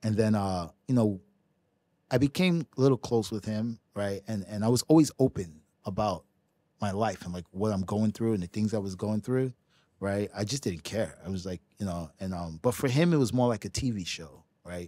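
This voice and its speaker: A man with a New York accent has a dark, mellow tone and fairly low pitch with ordinary pitch variation, heard dry with no echo over a quiet background. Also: moderate pace. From New York City, Brooklyn; New York City. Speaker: professional ping pong player; podcast guest. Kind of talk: casual chat. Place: studio. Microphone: studio mic.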